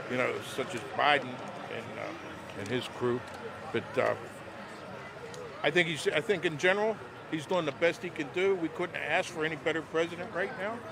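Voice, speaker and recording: Over noticeable background noise, a man with an American accent and a fairly high voice speaks at a fairly quick pace with lively intonation and long, frequent pauses. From Pittsburgh area, western Pennsylvania. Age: 60s. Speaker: rally attendee interviewed on the street. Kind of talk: street interview. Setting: outdoors at political rally. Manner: halting, repeats words.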